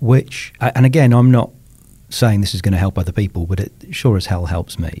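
Somewhat breathy with a dark, mellow tone, a man speaks at a moderate pace in a fairly low pitch with ordinary pitch variation. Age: 50s. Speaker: author and podcaster. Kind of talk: casual chat.

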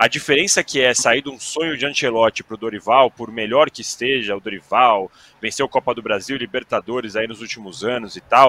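This is an ordinary speaking voice from a man at medium pitch. He goes at a fairly quick pace, and the sound is dry and close with no echo. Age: 30s. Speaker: sports journalist. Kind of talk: casual chat.

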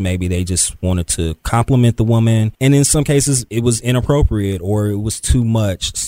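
A man with a plain, everyday voice and ordinary pitch variation, in a dry, close sound with no echo on a very clean recording against a silent background. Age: 30s. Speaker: podcast host and web producer. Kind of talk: interview; casual chat.

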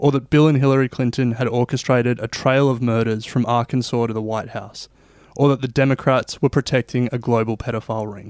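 In a very clean recording with a silent background and a dry, close sound with no echo, a man with an Australian accent speaks at a fairly quick pace, medium in pitch, with monotone, flat intonation. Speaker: podcast host. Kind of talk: scripted narration.

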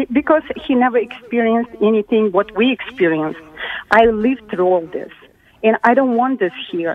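At a moderate pace and fairly high pitch, a woman with a non-native accent speaks with lively intonation over noticeable background noise. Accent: foreign-accented English. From country with socialism. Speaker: caller. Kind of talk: casual call-in rant. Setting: phone call. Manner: outraged, animated.

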